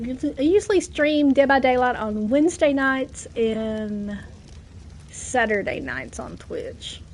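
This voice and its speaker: With an American accent, a woman speaks at a high pitch and a very slow pace, her intonation lively and her loudness swinging widely. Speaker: gaming streamer. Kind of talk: casual live-stream chat. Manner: animated.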